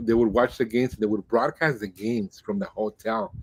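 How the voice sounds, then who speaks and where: With a Spanish accent, a man speaks at a fairly quick pace and medium pitch, in a dry, close sound with no echo. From Mexico-US border, Nogales and Tucson. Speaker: Spanish-language baseball radio broadcaster. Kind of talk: podcast interview.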